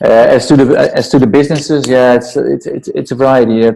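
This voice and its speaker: A man with a Dutch accent. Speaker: entrepreneur and startup mentor. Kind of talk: interview.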